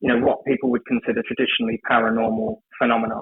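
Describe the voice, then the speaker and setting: A man is speaking. He has an English accent. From England, London. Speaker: ceremonial magician. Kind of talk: podcast interview. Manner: hesitant, many fillers.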